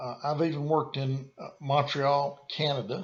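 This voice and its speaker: With a bright, sharp tone, a man speaks in a Southern US accent. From US South, rural small town. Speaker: consultant and course presenter. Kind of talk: lecture. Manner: halting, frequent fillers and repeats.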